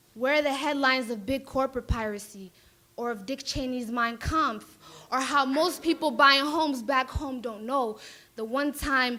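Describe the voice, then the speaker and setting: A bright, sharp tone carried in a raised, projected voice. The pace is moderate. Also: woman. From Minneapolis, Somali diaspora. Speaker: spoken word poet. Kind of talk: spoken word poetry performance. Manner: animated.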